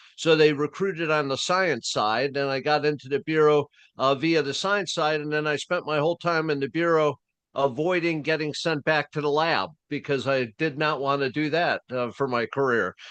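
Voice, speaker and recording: Against a quiet background with a dry, close sound and no echo, a man uses a normal speaking voice, fairly high in pitch, with ordinary pitch variation and a moderate pace. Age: 60s. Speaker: retired FBI agent and interrogation trainer. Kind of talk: interview. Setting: podcast.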